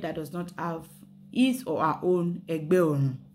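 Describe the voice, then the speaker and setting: In a Yoruba accent, a woman with a fairly low pitch talks at a moderate pace amid audible room echo. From Nigeria, Yoruba. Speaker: spirituality and history channel host. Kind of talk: casual explanatory talk mixing Yoruba and English. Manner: hesitant, many fillers and restarts.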